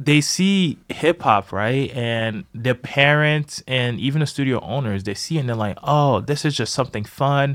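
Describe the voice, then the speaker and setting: In a very clean recording with a silent background, a man with a normal speaking voice, a medium pitch and an American accent talks at a fairly slow pace, with ordinary pitch variation and hardly any pauses. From US, Boston inner city. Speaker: dancer and choreographer. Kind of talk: casual chat. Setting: studio.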